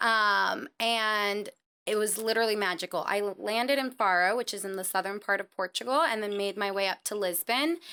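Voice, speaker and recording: In a very clean recording with a silent background, a woman with a Californian accent speaks at a moderate pace. Her medium-pitched voice has a bright, sharp tone and ordinary pitch variation. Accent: Californian, American. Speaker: traveler. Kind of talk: casual chat. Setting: studio. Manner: animated.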